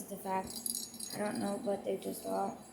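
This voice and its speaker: Background music plays throughout. The woman talks at a moderate pace. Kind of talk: casual talk to camera.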